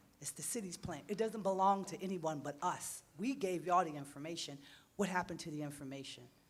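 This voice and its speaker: With an American accent, a woman speaks at a very fast pace and a fairly low pitch, her loudness swinging widely amid audible room echo. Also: ordinary pitch variation. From Pennsylvania, Harrisburg. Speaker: resident speaking at public meeting. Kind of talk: public comment at town hall. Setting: town hall meeting.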